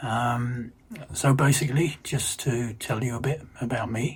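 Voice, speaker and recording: Against noticeable background noise, a man of medium pitch speaks with fairly even intonation at a moderate pace. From London, England. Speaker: retired electrical engineer. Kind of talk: casual self-introduction for language learners. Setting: recorded video message. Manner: hesitant, many fillers.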